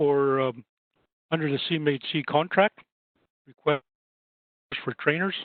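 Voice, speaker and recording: The speaker talks at a moderate pace in a Canadian prairie accent. The intonation stays fairly even. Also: man. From Saskatchewan, Canada (First Nations). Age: 60s. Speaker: housing advisor and trainer. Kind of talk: webinar presentation. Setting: online webinar.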